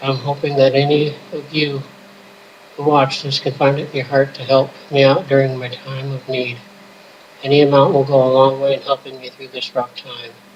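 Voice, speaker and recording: Noticeable background noise sits behind a man speaking in a fairly high pitch, monotone and flat, with big swings in loudness. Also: moderate pace. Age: 20s. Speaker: patient appealing for donations. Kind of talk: personal appeal.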